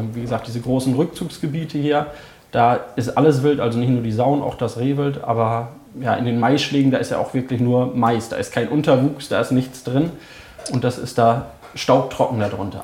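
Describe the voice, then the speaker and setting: Moderate pace, medium pitch and fairly even intonation in a man's unremarkable speaking voice. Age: 20s. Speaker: hunter and holiday resort operator. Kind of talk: casual interview.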